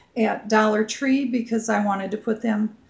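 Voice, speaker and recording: With an American accent, a woman speaks at a fairly high pitch and a moderate pace, using fairly even intonation over noticeable background noise. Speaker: home decor vlogger. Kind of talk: show-and-tell home tour. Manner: casual, hesitant with fillers.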